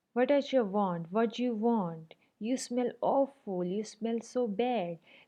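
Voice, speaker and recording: A woman puts on a squeaky character voice, fairly high-pitched and at a fairly slow pace. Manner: rude, demanding.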